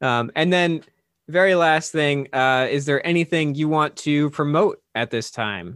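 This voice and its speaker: This man has an unremarkable speaking voice, fairly high in pitch, with ordinary pitch variation and a fairly slow pace. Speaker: podcast host. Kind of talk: casual podcast interview.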